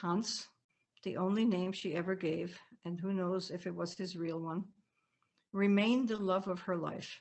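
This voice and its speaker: A woman speaks at a moderate pace with a slight German accent and a medium pitch. Her speech has long, frequent pauses. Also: fairly even intonation. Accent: faint German accent in American English. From Germany, Bavaria. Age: 80s+. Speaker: author. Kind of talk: reading aloud. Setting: video call.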